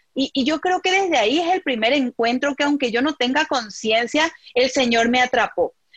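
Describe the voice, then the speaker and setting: A woman speaks at a moderate pace in a high pitch with lively intonation, in a dry, close sound with no echo. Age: young. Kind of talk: interview. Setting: video call.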